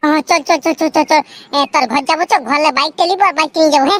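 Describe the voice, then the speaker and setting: A squeaky, cartoonish character voice with a high pitch rattles along at a very fast pace. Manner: repetitive, excitable.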